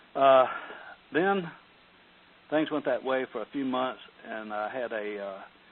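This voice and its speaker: Speaking with an American accent, a man uses a medium pitch and ordinary pitch variation. He goes at a fairly slow pace with long, frequent pauses. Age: 60s. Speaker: retired real estate investor. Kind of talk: interview. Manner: hesitant, with many fillers.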